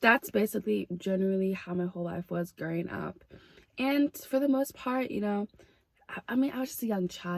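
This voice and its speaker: The intonation is lively and the pace moderate. The sound is dry and close, with no echo. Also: woman. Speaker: vlogger. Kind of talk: testimony. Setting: outdoors. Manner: loud.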